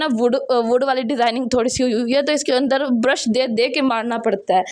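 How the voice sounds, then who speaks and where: A woman speaks in a high voice with fairly even intonation. Noticeable background noise is present. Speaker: home vlogger. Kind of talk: vlog voice-over. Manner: loud.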